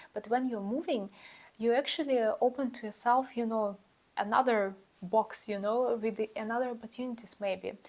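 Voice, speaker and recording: A woman with a non-native accent speaks at a moderate pace in a fairly high pitch with fairly even intonation. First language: not English. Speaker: YouTuber giving student advice. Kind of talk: casual vlog advice. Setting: talking to camera. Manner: hesitant, many fillers.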